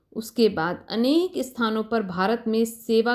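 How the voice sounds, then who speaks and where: A woman speaks at a fairly high pitch. The recording is very clean, with a silent background. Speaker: spiritual guide. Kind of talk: spiritual book narration.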